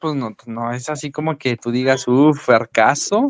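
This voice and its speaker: The speaker is a man. His pace is very slow. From Mexico. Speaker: podcast co-host. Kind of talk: casual chat. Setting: live stream.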